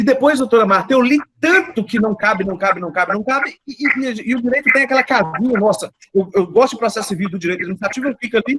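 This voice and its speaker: A man's high-pitched voice at a very fast pace with lively intonation. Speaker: law professor. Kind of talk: panel discussion question.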